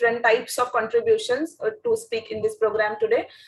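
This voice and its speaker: Delivered at a fairly quick pace with a Marathi accent, the speech keeps a fairly even intonation. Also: woman. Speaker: editor and event presenter. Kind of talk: event presentation and personal reflection.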